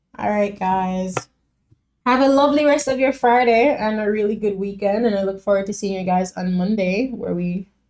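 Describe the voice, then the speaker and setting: A woman with a medium pitch speaks in a relaxed tone that is dark and mellow. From Jamaica. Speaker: music reaction streamer. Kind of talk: casual live stream chat. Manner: casual, relaxed.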